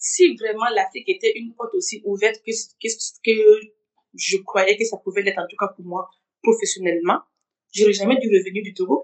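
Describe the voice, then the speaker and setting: A woman speaks at a moderate pace with a fairly high pitch. Her loudness swings widely. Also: ordinary pitch variation. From Burkina Faso. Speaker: insurance professional. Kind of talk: interview testimony. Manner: halting.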